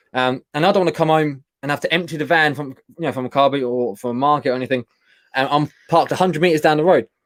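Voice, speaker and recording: A man with a British accent at a very fast pace, fairly high in pitch with ordinary pitch variation, in a dry, close sound with no echo. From UK. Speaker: online reseller and channel co-host. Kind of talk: casual live-stream chat. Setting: live stream.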